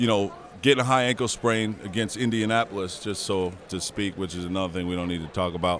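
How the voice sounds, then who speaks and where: With an American accent, a man with a fairly low voice speaks at a very fast pace with ordinary pitch variation. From New Jersey. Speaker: former football quarterback. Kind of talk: casual chat.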